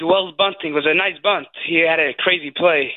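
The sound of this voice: The speaker is a man. He talks at a moderate pace.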